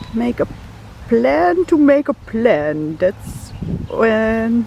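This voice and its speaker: Over noticeable background noise, a woman speaks with a Dutch accent at a fairly high pitch. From Netherlands. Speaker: art journaling vlogger. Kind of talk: casual vlog. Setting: outdoors in a park. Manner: rambling.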